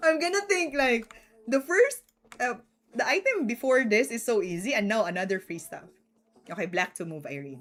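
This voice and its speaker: With a Filipino accent, a woman speaks in an animated tone at fairly high pitch, her voice swinging very widely in pitch and greatly in loudness. The pace is moderate. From Philippines. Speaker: chess streamer. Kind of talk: live stream commentary.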